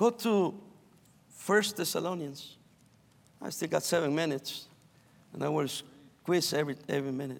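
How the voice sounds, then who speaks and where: In a Spanish accent, a man speaks at a moderate pace and a fairly high pitch with ordinary pitch variation. He takes long, frequent pauses. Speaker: pastor. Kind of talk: sermon. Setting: chapel service.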